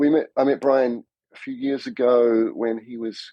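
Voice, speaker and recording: A man with a New Zealand accent. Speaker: cinematographer. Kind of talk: podcast interview.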